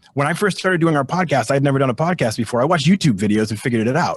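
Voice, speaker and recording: Somewhat breathy and with lively intonation, the voice carries an American accent in a dry, close recording with no echo. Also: man. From Boston. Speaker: sports industry panelist, podcaster. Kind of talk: career panel discussion. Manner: fast.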